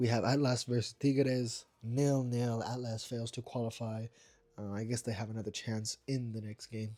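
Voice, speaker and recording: The man's voice has a dark, mellow tone and a monotone, flat intonation. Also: medium pitch for a man, moderate pace. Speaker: football results youtuber. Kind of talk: casual results roundup. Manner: casual, many fillers (um, uh).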